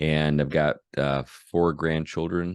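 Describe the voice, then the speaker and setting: Recorded dry and close with no echo over a quiet background, a man with an American accent speaks in a very deep, low pitch with fairly even intonation. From US Northeast/Midwest (Buffalo, St. Louis). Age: 60s. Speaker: pastor. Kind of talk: interview. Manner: hesitant, many fillers.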